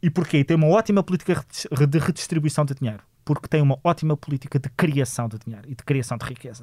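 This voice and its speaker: Speaking very fast with hardly any pauses, a man in a European Portuguese accent has a fairly high pitch, a dark, mellow, somewhat breathy tone and big swings in loudness. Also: ordinary pitch variation, dry, close sound with no echo. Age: 40s. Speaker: politician and lawyer, author. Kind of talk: interview.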